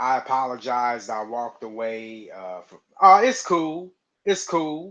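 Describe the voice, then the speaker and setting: Over a quiet background, a speaker with an American accent talks at a fairly slow pace, with lively intonation and big swings in loudness. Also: man, medium pitch for a man. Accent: southern US accent, comes and goes. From US South. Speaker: live stream host. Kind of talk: casual chat. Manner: halting, repeats words.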